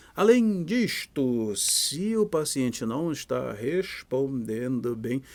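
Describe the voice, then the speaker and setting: A man speaks in a Pará accent at a medium pitch. His intonation is lively. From Brazil, Pará. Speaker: physician lecturer. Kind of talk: lecture. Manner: casual, animated.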